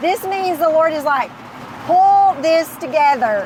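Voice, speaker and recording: Loud and extremely high-pitched, a woman talks with lively intonation over noticeable background noise. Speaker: business owner and Bible study host. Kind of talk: casual faith-based study discussion.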